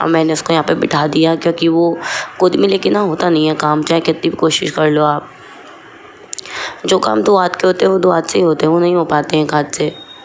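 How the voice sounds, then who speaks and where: Noticeable background noise sits behind this recording. A woman with a fairly low pitch speaks at a fairly quick pace. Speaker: vlogger, mother. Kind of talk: casual daily vlog.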